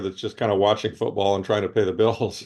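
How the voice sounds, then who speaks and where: A man with an American accent speaks in a normal speaking voice, fairly low in pitch. His intonation stays fairly even over a quiet background. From United States. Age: 60s. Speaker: author and investor. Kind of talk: interview. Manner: frequent fillers and restarts.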